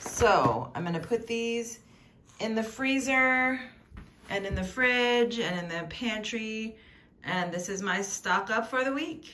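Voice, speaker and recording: This woman has a bright, sharp tone and a fairly high pitch, with ordinary pitch variation. She talks very slowly over light background noise. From Louisiana. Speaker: lifestyle vlogger. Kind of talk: casual vlog narration. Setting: at home. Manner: conversational. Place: home room. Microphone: phone near.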